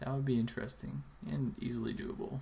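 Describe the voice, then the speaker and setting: A man speaks here. His voice is quiet. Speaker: video blogger. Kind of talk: casual vlog. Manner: quiet, keeping voice down.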